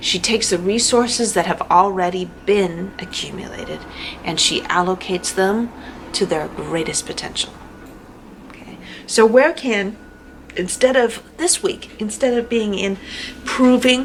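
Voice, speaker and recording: Amid noticeable background noise, a woman with a fairly high pitch talks at a moderate pace, her intonation lively, her loudness swinging widely, with long, frequent pauses. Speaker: tarot reader. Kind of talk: tarot reading monologue. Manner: halting; casual.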